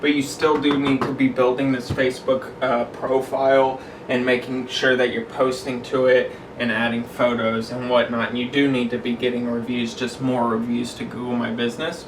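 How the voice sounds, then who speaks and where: Over noticeable background noise and audible room echo, a man speaks at a moderate pace in a monotone, flat way. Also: medium pitch for a man. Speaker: cleaning business owner and coach. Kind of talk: tutorial. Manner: casual, with frequent fillers.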